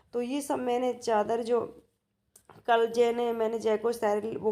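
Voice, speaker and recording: A dark, mellow tone with flat, monotone intonation. The pace is fairly slow. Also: woman. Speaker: home vlogger. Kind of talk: casual vlog narration. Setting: at home. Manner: hesitant, many fillers.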